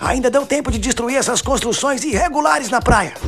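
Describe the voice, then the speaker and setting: A raspy, put-on character voice with a fairly high pitch moves at a fairly quick pace over clear background noise. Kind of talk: comedic dubbed narration.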